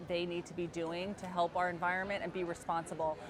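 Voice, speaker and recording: In a New Jersey accent, a woman speaks at a medium pitch. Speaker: agency executive interviewer. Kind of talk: interview. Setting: conference booth.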